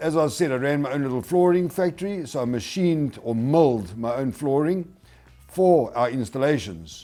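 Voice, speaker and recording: Speaking in a South African accent, a man has a dark, mellow tone and a fairly high pitch. He moves at a moderate pace with lively intonation. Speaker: hardwood flooring installer and product promoter. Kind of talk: webinar presentation. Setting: webinar.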